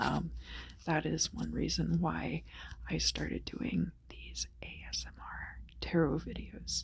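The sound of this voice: A woman whispers at a slow pace, her voice marked by vocal fry.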